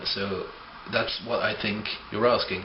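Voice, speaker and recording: Over noticeable background noise and audible room echo, a man with a non-native accent speaks at a fairly slow pace with ordinary pitch variation. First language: not English. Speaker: atheist video blogger. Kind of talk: argumentative video response.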